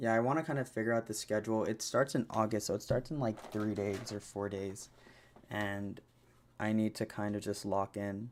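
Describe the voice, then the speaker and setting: Fairly even intonation marks this man's fairly low-pitched voice. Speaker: podcast host and streamer. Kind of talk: solo podcast monologue. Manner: slow; halting, many fillers.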